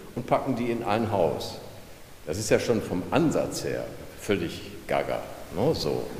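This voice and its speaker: A man speaks amid noticeable background noise, with audible room echo. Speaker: retired clinic press officer. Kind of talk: guided tour.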